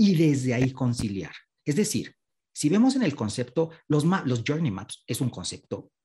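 Fairly high-pitched male voice, dark and mellow in tone, somewhat breathy, with lively intonation. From Mexico. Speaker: customer experience consultant. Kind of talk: panel discussion. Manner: animated.

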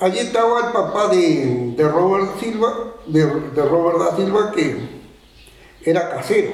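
In a Uruguayan accent, a man with a high pitch speaks at a fairly slow pace, with audible room echo and noticeable background noise. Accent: rural Uruguayan Spanish. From Uruguay, rural Tacuarembó. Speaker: rural horseman and local historian. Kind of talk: oral history testimony. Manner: halting.

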